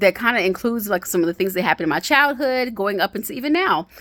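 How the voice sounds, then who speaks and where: A woman's medium-pitched, bright, sharp voice with very wide pitch swings, on a very clean recording with a silent background. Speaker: vlogger sharing health journey. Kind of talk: casual monologue vlog. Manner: fast.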